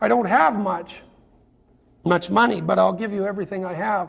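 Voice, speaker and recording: Putting on a character voice, a man talks at a moderate pace in a raspy, high-pitched tone. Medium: read story.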